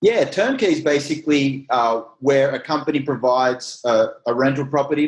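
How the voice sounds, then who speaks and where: Delivered at a fairly quick pace with hardly any pauses, a man's fairly high voice with an Australian accent keeps very even loudness and ordinary pitch variation. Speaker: real estate company CEO. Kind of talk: interview.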